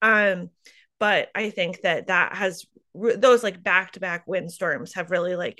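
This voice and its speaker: A woman with a bright, sharp tone speaks in a Midwestern US accent against a quiet background. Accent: US Midwest. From eastern Iowa. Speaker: farmer. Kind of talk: interview. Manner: halting, many fillers.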